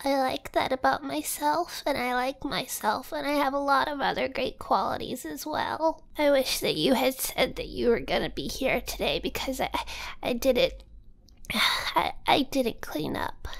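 A woman puts on a character voice, high in pitch and gentle in tone. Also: moderate pace. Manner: earnest, self-assured, gentle.

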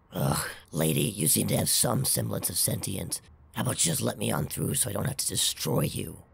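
With very wide pitch swings, a man performs a put-on character voice that is very deep and low, moving at a fairly quick pace. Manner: casual, wisecracking, cocky.

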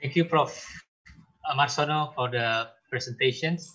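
A man's fairly quick voice, bright and sharp in tone, with fairly even intonation against a quiet background. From Indonesia. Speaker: lecturer and webinar moderator; lecturer, webinar moderator. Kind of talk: moderated panel discussion. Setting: video call. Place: home room. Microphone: earbuds.

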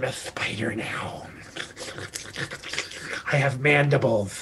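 Putting on a character voice, a man speaks in a raspy tone at medium pitch and a fairly slow pace. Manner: playful.

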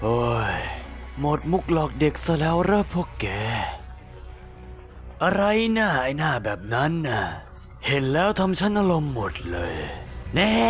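Clear music plays behind a man doing a put-on character voice in a bored tone. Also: fairly high pitch for a man. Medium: dub. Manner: mocking, taunting, bored.

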